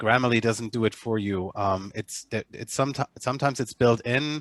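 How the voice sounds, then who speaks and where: A man with a German accent speaks at medium pitch and a moderate pace. His intonation is fairly even, and the sound is dry and close with no echo. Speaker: agency manager. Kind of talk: online meeting discussion. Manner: halting, many repetitions and fillers.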